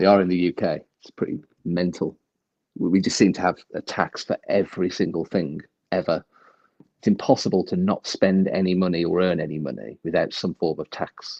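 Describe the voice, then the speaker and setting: Dark and mellow in tone, the voice carries a British accent, fairly even intonation and a fairly quick pace. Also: man, very deep, low pitch for a man, dry, close sound with no echo. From UK. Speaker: livestream guest. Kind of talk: casual chat. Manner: fast.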